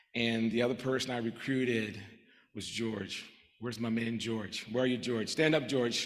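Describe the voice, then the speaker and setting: Flat, monotone delivery at a moderate pace, broken by long, frequent pauses, with audible room echo. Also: man. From Puerto Rico. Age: 60s. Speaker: physician and professor of medicine. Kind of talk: award acceptance speech.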